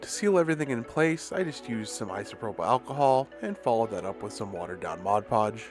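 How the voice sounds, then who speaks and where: Over music in the background, a man with a medium pitch talks at a very fast pace with hardly any pauses and very wide pitch swings. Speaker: diorama maker. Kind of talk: tutorial narration. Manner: casual, self-deprecating.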